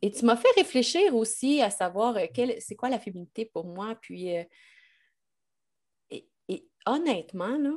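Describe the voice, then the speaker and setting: The speaker talks at a fairly slow pace, with a slight Québécois accent, very wide pitch swings and big swings in loudness. Long, frequent pauses break up the speech against a quiet background. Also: woman, fairly high pitch for a woman. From Quebec, Lac-Beauport near Quebec City. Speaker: business consultant and leadership coach. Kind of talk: interview.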